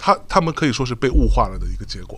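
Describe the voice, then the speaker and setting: Very fast speech from a man, the recording very clean with a silent background. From Jiangsu, China. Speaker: podcast host and podcast network founder. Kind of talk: casual chat. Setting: live podcast event recording.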